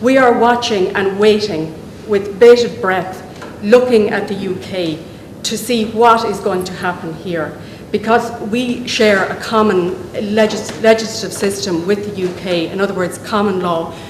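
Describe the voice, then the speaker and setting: Noticeable background noise and audible room echo mark this clip. A woman talks fairly slowly at medium pitch. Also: fairly even intonation. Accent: Dublin. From Ireland. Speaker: medical herbalist, professional association representative. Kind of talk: public speech at a meeting. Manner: hesitant, with fillers and restarts.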